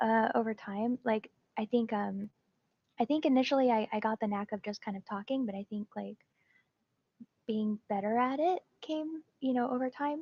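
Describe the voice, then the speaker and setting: Whispering and soft-spoken, a woman leaves long, frequent pauses in a dry, close sound with no echo. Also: moderate pace. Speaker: Twitch streamer. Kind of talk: interview. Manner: quiet, almost whispering.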